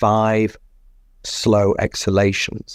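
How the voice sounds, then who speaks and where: A man with an English accent speaks at a fairly low pitch. The recording is very clean with a silent background and a dry, close sound with no echo. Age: 60s. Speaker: physician. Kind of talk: interview.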